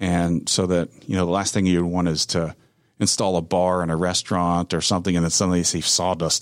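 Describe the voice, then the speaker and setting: A man with a very deep, low voice speaks at a moderate pace in a very clean recording with a silent background. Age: 50s. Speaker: sawmill owner, former business owner. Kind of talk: interview. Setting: studio.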